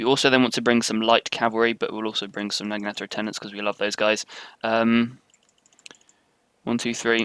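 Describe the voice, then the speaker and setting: A man with a British accent and medium pitch talks at a very fast pace with big swings in loudness, the sound dry and close with no echo. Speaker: video game commentator. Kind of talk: live gameplay commentary. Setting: live stream. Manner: casual, light-hearted.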